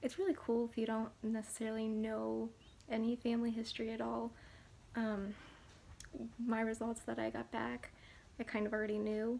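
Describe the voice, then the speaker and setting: A soft-spoken woman talks at a fairly quick pace. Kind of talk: ASMR soft-spoken talk to camera.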